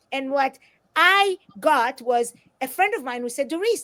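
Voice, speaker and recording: In an Israeli accent, a woman talks with an animated tone and very wide pitch swings, the sound dry and close with no echo. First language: Hebrew. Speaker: author and motivational speaker. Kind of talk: interview.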